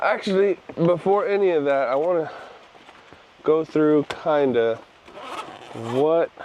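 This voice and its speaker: Against noticeable background noise, a man speaks at a fairly slow pace with very even loudness, ordinary pitch variation and long, frequent pauses. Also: fairly high pitch for a man. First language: not English. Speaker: photography vlogger. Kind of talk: casual vlog. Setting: outdoors.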